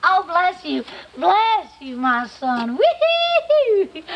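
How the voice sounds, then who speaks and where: A woman speaks at an extremely high pitch with very wide pitch swings. Her pace is very slow. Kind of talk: comic overacting. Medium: comedy sketch. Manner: wheedling, then gleeful.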